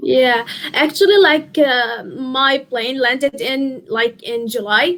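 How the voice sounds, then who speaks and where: A woman with an Arabic accent speaks at a very slow pace in a high voice with lively intonation. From Syria. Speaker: university student. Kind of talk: interview. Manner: halting, many fillers.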